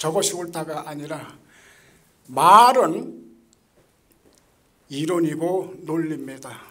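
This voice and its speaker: Very slowly and with long, frequent pauses, a man talks at a fairly high pitch with ordinary pitch variation. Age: 80s+. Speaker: Buddhist monk. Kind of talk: speech at event. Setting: event hall with audience.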